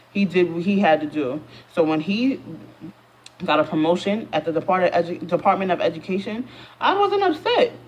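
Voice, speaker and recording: The speaker has an American accent. Noticeable noise sits in the background. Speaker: YouTuber. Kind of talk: storytime vlog. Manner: fast; animated. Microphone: phone camera.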